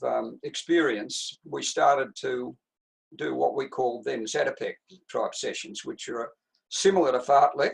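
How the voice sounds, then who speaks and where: A man speaks at a fairly slow pace with an Australian accent. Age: 80s+. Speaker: retired distance runner and coach. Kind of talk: interview answer.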